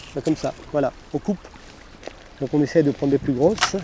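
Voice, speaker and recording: Fairly quick speech from a man, noticeable background noise behind it. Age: 60s. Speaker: recreational shore fisherman. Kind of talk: casual interview. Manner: halting, many hesitations.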